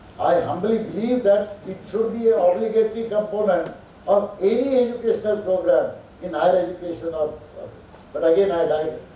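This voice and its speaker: A man's high voice at a fairly quick pace, with noticeable background noise and audible room echo. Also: ordinary pitch variation. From India. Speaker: professor. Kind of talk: lecture.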